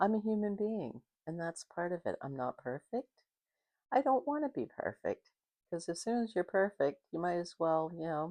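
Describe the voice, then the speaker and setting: Against a quiet background, a woman speaks at a fairly slow pace with lively intonation and a dark, mellow tone, the sound dry and close with no echo. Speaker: video blogger. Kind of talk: casual monologue to camera. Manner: stutters sometimes, trips over words; conversational, unscripted.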